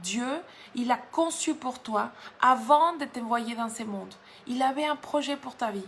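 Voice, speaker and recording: Speaking at a fairly slow pace, this is a woman. Her pitch is high. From Mexico. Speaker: guest preacher. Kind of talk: sermon. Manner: halting, with frequent repetitions.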